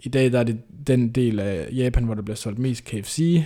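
Fairly even intonation, a moderate pace and a dark, mellow tone from a man at medium pitch. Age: 20s. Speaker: PhD student and author. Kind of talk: interview.

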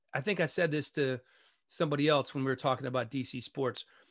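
A man's bright, sharp, fairly high voice, fairly quick, against a quiet background. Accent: American. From Maryland, DC area (Montgomery County). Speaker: sports broadcaster. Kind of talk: casual interview chat.

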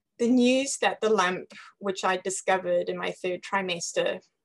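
A woman with a British accent speaks at medium pitch and a moderate pace, her intonation fairly even. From Zimbabwe. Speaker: cancer survivor. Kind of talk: reading aloud.

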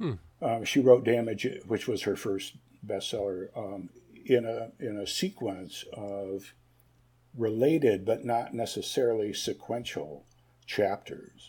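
Fairly slow and somewhat breathy, a man speaks at a medium pitch with a dark, mellow tone and ordinary pitch variation on a very clean recording with a silent background. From US Midwest, Ann Arbor, Michigan. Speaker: fiction writer. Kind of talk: interview. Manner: halting, many fillers.

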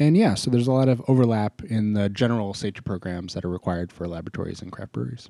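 A man's medium-pitched voice with an American accent, dark and mellow in tone, very fast, with ordinary pitch variation, dry and close with no echo on a very clean, silent recording. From Maine, US. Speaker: podcast co-host, scientist. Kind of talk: casual chat.

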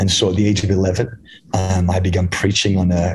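A man with a British accent speaks at a very deep, low pitch and moderate pace. His voice is somewhat breathy and his intonation flat and monotone. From England. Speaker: evangelist. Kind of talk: interview, testimony.

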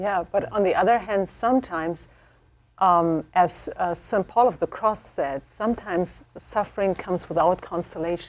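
A woman speaks with a German accent. Vocal fry runs through her voice. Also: medium pitch for a woman, ordinary pitch variation, moderate pace. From Germany. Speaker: theology professor. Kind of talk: panel discussion.

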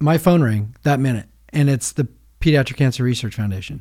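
The man's fairly high voice has a dark, mellow tone, lively intonation and a somewhat breathy quality. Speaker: long-distance walker raising money for charity. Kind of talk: casual chat.

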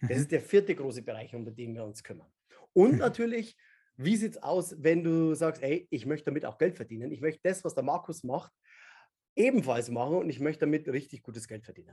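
A man talks fairly quickly in a fairly high voice with a dark, mellow tone and lively intonation. His loudness swings widely against a quiet background. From Bavaria, Upper Palatinate. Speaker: memory expert and speaker. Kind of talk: casual interview.

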